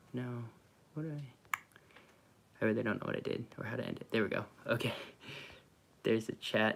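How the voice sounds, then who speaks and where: Quiet and medium in pitch, a man with an American accent speaks with fairly even intonation and long, frequent pauses. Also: fairly quick pace. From Oklahoma / Kansas, US. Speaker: vanlife vlogger. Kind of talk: live stream Q&A. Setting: at parents' house, live stream. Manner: talking quietly.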